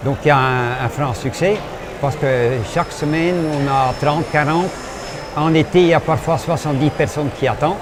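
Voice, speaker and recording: A man's fairly high-pitched voice at a moderate pace, fairly even intonation, long, frequent pauses and noticeable background noise. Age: 70s. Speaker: craft brewer. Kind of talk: radio interview. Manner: halting.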